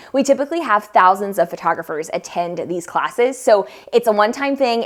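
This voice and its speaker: A woman speaks at a fairly quick pace with a fairly high voice. Her intonation is lively. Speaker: photographer and educator. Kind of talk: tutorial. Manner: fast; animated.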